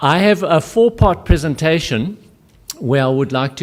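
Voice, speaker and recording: A man with a South African accent, lively in intonation, at a moderate pace. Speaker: conference speaker. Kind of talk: lecture.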